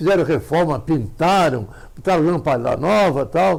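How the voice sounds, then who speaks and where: A man with vocal fry and lively intonation at a moderate pace. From Santa Catarina, Brazil. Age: 90s. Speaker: amateur astronomer. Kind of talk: interview.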